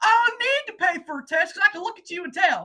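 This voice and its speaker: This put-on character voice sits at an extremely high pitch. The words rush out at a very fast pace. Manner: dismissive, blunt.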